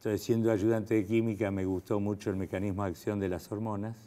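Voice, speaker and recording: This man, with an Argentine accent, has a fairly low pitch and a dark, mellow tone. He moves at a fairly quick pace in a monotone, flat intonation. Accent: Argentine Spanish (Rioplatense). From Argentina. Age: 70s. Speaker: fertility doctor. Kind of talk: interview. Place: studio.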